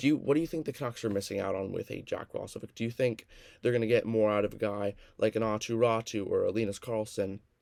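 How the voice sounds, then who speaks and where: A man speaks at a very fast pace and a medium pitch. His intonation stays fairly even. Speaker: podcast host. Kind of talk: casual podcast conversation. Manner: stuttering, stumbling.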